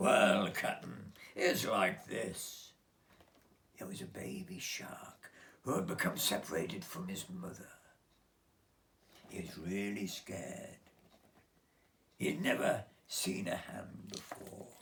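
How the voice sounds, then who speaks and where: Whispering in a put-on character voice, a man goes at a fairly slow pace with long, frequent pauses. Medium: read story.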